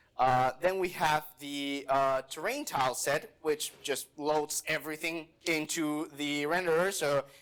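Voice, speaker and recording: A man with a Spanish accent talks in a fairly high pitch with ordinary pitch variation, on a very clean recording with a silent background. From Mexico. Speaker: software developer, conference speaker. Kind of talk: conference talk with live demo. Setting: stage with audience. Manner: casual, with many fillers.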